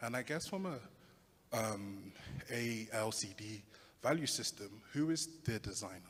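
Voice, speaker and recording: Somewhat breathy, with a London accent, the speaker moves at a fairly slow pace with lively intonation and long, frequent pauses. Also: man, medium pitch for a man. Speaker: audience member asking a question. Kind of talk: audience question.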